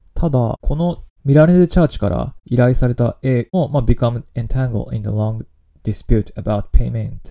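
Dry and close with no echo, a man's voice has a dark, mellow tone. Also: medium pitch for a man, ordinary pitch variation, moderate pace. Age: 30s. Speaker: podcast host. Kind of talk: solo podcast talk on news. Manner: casual with frequent fillers.

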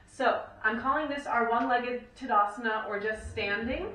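In a room with audible echo and light background noise, a woman speaks at a fairly high pitch with fairly even intonation. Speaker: fitness and yoga instructor. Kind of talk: instructional workout cueing, talking viewers through yoga-based strength combos. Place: home room.

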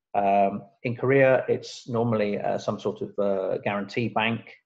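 At a fairly slow pace, a man speaks against a quiet background. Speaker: presenter. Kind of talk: lecture. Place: home room. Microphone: webcam.

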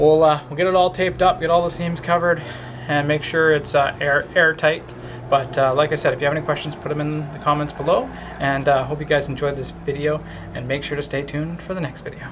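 Over noticeable background noise, a man talks at a very fast pace in a monotone, flat intonation. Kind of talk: casual vlog chat. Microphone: phone near.

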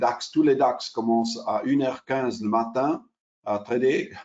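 Speaking very slowly in an Italian accent, a man is heard over a quiet background. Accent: Italian-accented French, non-native. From Switzerland, Italian family. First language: Italian (speaking French). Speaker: derivatives exchange sales specialist; presenter. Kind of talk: webinar presentation. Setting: online webinar. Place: home room. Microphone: webcam.

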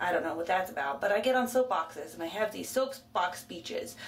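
A woman speaks at a fairly quick pace. Light background noise is present. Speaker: vlogger. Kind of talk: casual talk to camera. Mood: playful, self-mocking. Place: bathroom. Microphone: phone near.

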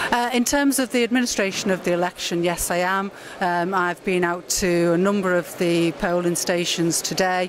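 A woman at a medium pitch talks at a moderate pace with hardly any pauses, in a dry sound with no echo and light background noise. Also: ordinary pitch variation, very even loudness. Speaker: council chief executive and returning officer; council chief executive. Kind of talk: interview at an election count. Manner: measured, formal. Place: hall. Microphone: handheld.

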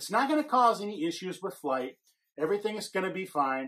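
Over a quiet background, a man talks at a fairly quick pace in a high voice. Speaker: model kit company host. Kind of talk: tutorial. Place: office. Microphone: phone near.

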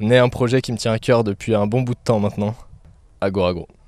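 A man speaks fairly quickly with fairly even intonation. The sound is dry with no echo, and the background is quiet. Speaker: agronomy student, channel creator; channel creator. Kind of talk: scripted channel presentation. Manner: casual, direct address to viewer. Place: garden. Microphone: handheld.

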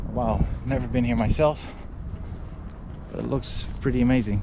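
Noticeable background noise behind a man, the sound dry with no echo. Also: moderate pace. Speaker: travel vlogger. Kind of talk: casual vlog chat. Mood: mildly subdued, curious. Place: open country. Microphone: phone near.

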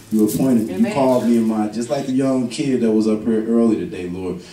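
Delivered at a fairly quick pace, the speech carries light background noise and audible room echo. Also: man. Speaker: pastor. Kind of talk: sermon prayer. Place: church.

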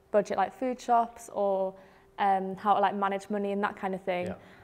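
At a moderate pace, a woman speaks at medium pitch with monotone, flat intonation. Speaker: student ambassador; presenter. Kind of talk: casual chat. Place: classroom.

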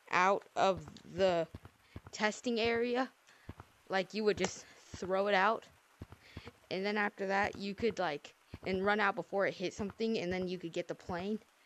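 With long, frequent pauses, a woman speaks at a moderate pace and fairly even intonation. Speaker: gaming video creator. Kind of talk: casual gameplay commentary. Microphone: headset.

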